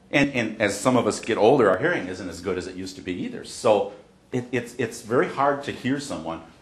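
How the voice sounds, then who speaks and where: A man speaks at a very fast pace. Audible room echo and noticeable background noise are present. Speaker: accessibility educator. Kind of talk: discussion with faculty. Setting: university classroom with group. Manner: loud, projected.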